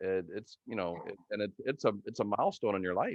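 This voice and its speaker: Here is an ordinary speaking voice from a man at a fairly low pitch. He moves at a fairly quick pace. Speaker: podcast host. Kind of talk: casual interview talk.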